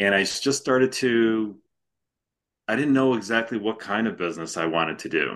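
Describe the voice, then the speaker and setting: A man with a plain, everyday voice and an American accent speaks at a medium pitch and moderate pace, with ordinary pitch variation. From Chicago suburbs, Illinois. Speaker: former home care franchise owner. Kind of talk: interview.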